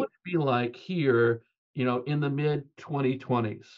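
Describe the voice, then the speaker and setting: A man speaks with an American accent at a moderate pace. The background is quiet. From US West Coast, California (Bay Area); California. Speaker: technology research architect; guest. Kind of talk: interview conversation. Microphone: webcam.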